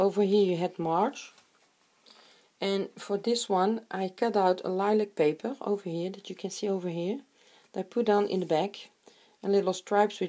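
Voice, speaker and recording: With a non-native accent, a woman speaks at a moderate pace and medium pitch, her tone dark and mellow and her intonation fairly even, in a very clean recording with a silent background. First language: not English. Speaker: crafter. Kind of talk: tutorial. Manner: halting.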